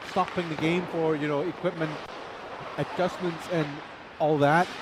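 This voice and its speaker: The speaker keeps a fairly even intonation at a moderate pace. Noticeable background noise runs underneath. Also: man. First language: Chinese. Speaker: ice hockey commentator. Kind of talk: live commentary. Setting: ice rink. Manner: casual, chatty.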